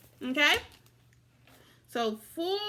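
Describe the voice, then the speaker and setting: Raised and projected, a woman's high voice rings out in a bright, sharp tone with very wide pitch swings. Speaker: elementary school teacher. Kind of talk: virtual classroom lesson. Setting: recorded video lesson.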